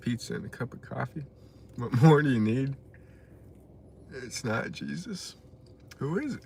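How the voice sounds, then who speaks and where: Speaking with an American accent, a man uses lively intonation at a fairly slow pace. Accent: Texan accent, noticed by chat. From West Texas. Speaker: live streamer. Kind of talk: casual live stream chat, reading comments.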